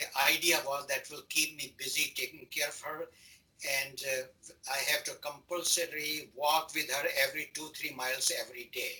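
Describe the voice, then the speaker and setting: The man's voice sits at a fairly high pitch, moving at a moderate pace with monotone, flat intonation. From India. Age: 80s+. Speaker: retired-age doctor. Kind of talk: oral history interview. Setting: video call.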